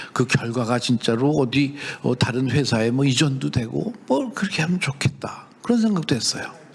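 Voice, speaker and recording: A man at a medium pitch and moderate pace, with hardly any pauses, very even loudness and noticeable background noise. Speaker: professor and startup CEO. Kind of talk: lecture. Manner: conversational, with many fillers and self-corrections.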